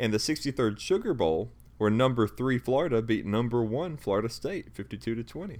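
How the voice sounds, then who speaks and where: Speaking fairly quickly with lively intonation, a man uses an unremarkable speaking voice at a medium pitch. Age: 20s. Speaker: sports podcast host. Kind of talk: casual chat.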